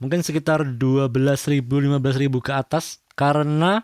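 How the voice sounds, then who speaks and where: Dry and close with no echo, a man's voice moves at a fairly quick pace on a very clean recording over a silent background. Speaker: audio tutorial youtuber. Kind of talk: tutorial.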